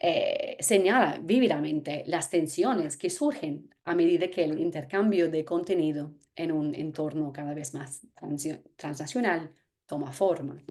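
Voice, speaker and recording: Fairly slow speech in an English accent with a dark, mellow tone and ordinary pitch variation. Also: woman, fairly low pitch for a woman. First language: English (speaking Spanish). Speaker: anthropologist. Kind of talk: lecture.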